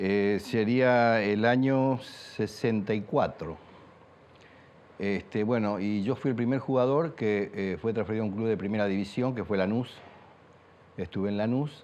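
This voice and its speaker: A man speaks at a fairly slow pace. He has a plain, everyday voice. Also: fairly low pitch for a man, ordinary pitch variation. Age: 60s. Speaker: former footballer and coach. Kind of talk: interview testimony.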